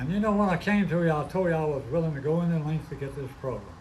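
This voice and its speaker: The man talks at a fairly quick pace. There is audible room echo. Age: 90s. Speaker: recovery meeting speaker. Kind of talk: testimony.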